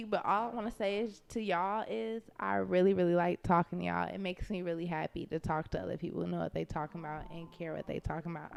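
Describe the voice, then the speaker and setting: Using a put-on character voice, a woman talks very fast in a raspy, fairly low register. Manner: warm, friendly.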